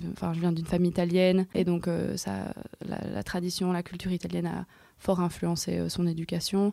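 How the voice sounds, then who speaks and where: A woman talks at a fairly quick pace. Her voice is dark and mellow, with a fairly low pitch. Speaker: DJ and activist. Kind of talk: casual round-table chat.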